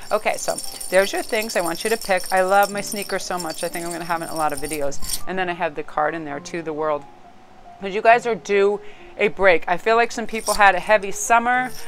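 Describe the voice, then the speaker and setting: A woman at a medium pitch and very fast pace, with ordinary pitch variation and music in the background. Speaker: tarot card reader. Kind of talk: tarot reading monologue to camera. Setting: filming at home in a new spot. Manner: animated.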